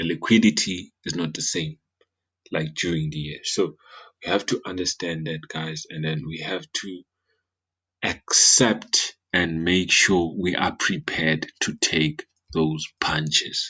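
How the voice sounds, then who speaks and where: A man with a non-native accent speaks at a fairly slow pace. His very deep, low pitch carries fairly even intonation. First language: not English. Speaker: forex trading analyst. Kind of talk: market analysis tutorial. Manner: halting with fillers and repetitions.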